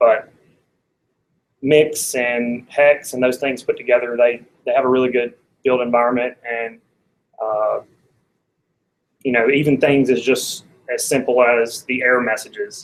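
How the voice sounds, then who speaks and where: A man with an Alabama accent, monotone and flat, at a fairly slow pace with long, frequent pauses. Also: medium pitch for a man. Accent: Alabama Southern US. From US South, Athens, Alabama. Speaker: software developer, tech meetup speaker. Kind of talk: technical talk.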